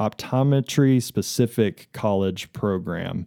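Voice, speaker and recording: A man's fairly low voice in a West Texas accent, with ordinary pitch variation. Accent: West Texas American. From Texas, Amarillo. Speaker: optometrist. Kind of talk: interview, explaining eye care. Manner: casual, many fillers.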